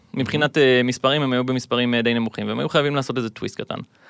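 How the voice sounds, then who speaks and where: At a very fast pace, a man with a fairly high pitch comes through in dry, close sound with no echo. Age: 20s. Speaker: gamer and content creator. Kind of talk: casual interview.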